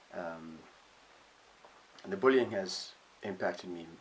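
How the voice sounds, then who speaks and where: A man talks at a very slow pace in a very deep, low pitch. His intonation stays fairly even. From northern England. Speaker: vlogger. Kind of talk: personal vlog monologue. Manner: halting, many fillers.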